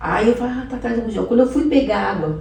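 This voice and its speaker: The speech comes at a very fast pace. Room echo is audible. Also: woman. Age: 60s. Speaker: pastor giving her life testimony. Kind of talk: testimony.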